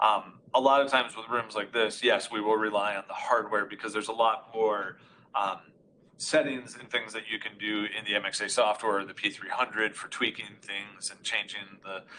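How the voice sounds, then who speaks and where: A man's fairly low, bright and sharp voice with fairly even intonation and big swings in loudness. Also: moderate pace. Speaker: audio conferencing expert. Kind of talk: technical webinar demonstration.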